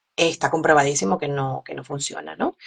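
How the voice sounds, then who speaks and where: A woman speaks at a moderate pace with a strong Caracas accent. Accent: strong Caracas Venezuelan. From Venezuela, Caracas. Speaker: physician. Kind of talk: interview. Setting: live stream.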